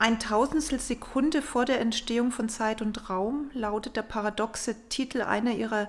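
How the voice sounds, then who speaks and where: Speaking fairly slowly, a woman with an unremarkable speaking voice keeps her fairly high pitch in a fairly even intonation. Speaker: art society representative, co-host. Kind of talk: interview. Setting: gallery.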